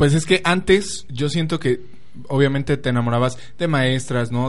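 The voice carries a Mexican accent and an animated tone. Its pitch varies in an ordinary way. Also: man. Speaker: podcast co-host. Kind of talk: casual chat.

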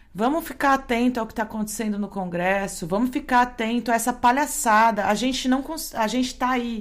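A woman talks with a high pitch. The pitch shifts in an ordinary way. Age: 40s. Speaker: radio podcast host. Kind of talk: radio show presenting.

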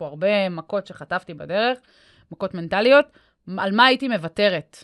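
An unremarkable speaking voice from a woman at a moderate pace, with ordinary pitch variation, dry, close sound without echo, and a quiet background. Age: 30s. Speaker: mental coach and podcast host. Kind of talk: casual interview chat. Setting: podcast studio.

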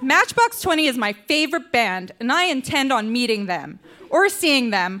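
With a Canadian accent, a woman speaks at a moderate pace in a high pitch and a bright, sharp tone, her pitch swinging very widely. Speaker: reader at live storytelling show. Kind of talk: reading aloud. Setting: stage with audience.

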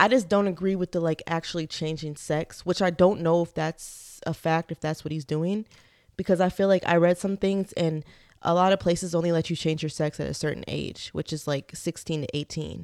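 A woman with an unremarkable speaking voice, fairly low in pitch, talking at a fairly quick pace with fairly even intonation in a dry, close sound with no echo. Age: 20s. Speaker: podcast co-host. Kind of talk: casual chat.

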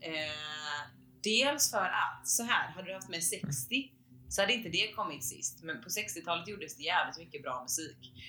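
Talking at a fairly slow pace, a woman with a fairly low pitch and a bright, sharp tone uses lively intonation. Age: 20s. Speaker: podcast co-host. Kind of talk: casual chat.

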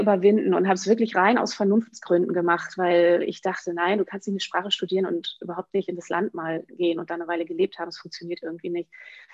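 A woman speaks fairly quickly with an ordinary speaking voice. Her pitch is medium and her intonation fairly even. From northwestern Germany, Emsland. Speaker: children's book author. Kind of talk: interview.

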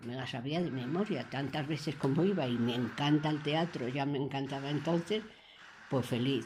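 Somewhat breathy and very deep in pitch, a woman talks at a moderate pace with ordinary pitch variation. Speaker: care home resident. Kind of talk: radio interview.

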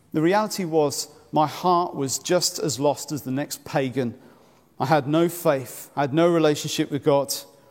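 Delivered at a moderate pace, an ordinary speaking voice comes through on a very clean recording with a silent background. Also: man, fairly high pitch for a man, ordinary pitch variation. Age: 40s. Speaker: preacher. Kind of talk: sermon.

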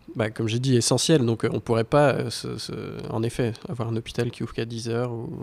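Fairly even intonation at a fairly quick pace, over noticeable background noise. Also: man, medium pitch for a man. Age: 30s. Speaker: carpenter. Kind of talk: debate.

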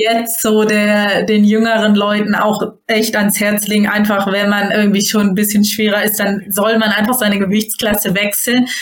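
At a moderate pace, a woman speaks at a medium pitch with a monotone, flat intonation and very even loudness. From northern Germany, near Hamburg. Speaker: judo athlete. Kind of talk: interview.

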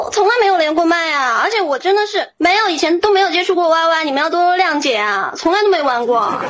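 A woman with an extremely high pitch and lively intonation speaks very fast with hardly any pauses, amid noticeable background noise and audible room echo. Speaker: caller on live voice-chat show. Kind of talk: casual chat. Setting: online voice chat room. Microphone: strong echo.

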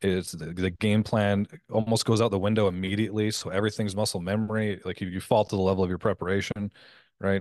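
Against a quiet background, a man with a Canadian accent speaks at a very fast pace, fairly low in pitch, in a monotone, flat intonation with a dry, close sound and no echo. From Canada. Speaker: business coach and former pro fighter. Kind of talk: casual interview.

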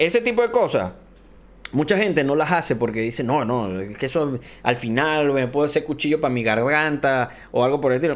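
This is a plain, everyday voice. It moves at a fairly quick pace with lively intonation. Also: man, fairly high pitch for a man. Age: 30s. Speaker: podcast host and esports caster. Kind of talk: casual chat.

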